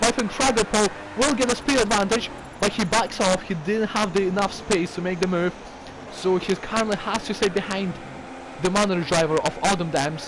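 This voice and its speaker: Noticeable background noise sits behind a man's voice. He speaks at a high pitch with ordinary pitch variation. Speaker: sim racing commentator. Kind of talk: live commentary. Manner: animated.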